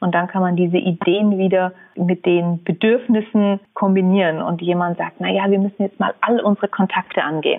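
A woman speaks at a moderate pace in a medium-pitched voice with fairly even intonation. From Germany, Munich (Bavaria). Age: 30s. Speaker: entrepreneur and researcher. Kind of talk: interview.

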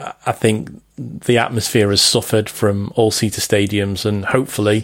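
A man with a Liverpool accent talks at a moderate pace. His pitch is fairly low and his intonation fairly even. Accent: Scouse. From Liverpool, England. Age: 40s. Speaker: football journalist. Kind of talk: casual chat. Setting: Skype call. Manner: clear.

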